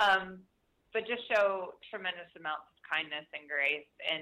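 A woman with an unremarkable speaking voice speaks at a fairly slow pace, medium in pitch with ordinary pitch variation. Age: 40s. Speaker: author and business co-founder. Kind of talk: interview.

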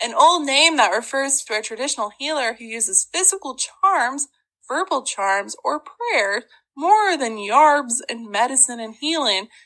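A woman speaks in a raised, projected voice with a high pitch and a bright, sharp tone, at a fairly slow pace. Her pitch swings very widely, her loudness swings a lot, and the background is quiet. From Ozarks, Arkansas. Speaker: podcast host. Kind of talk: casual storytelling chat. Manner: animated, humorous.

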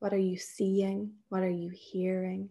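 A woman speaks at a very slow pace in a somewhat breathy, dark, mellow tone. Her delivery is soothing and calm, with monotone, flat intonation. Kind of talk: guided meditation. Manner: slow, soothing, calm and gently paced with long pauses.

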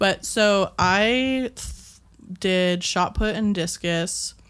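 The recording is very clean against a silent background. On it, a woman talks. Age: 20s. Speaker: podcast guest, listener. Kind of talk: casual chat. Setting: studio.

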